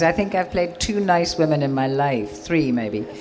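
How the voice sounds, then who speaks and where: A woman with an English accent speaks with very wide pitch swings, amid audible room echo and noticeable background noise. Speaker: actress. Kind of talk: convention panel talk. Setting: stage with audience.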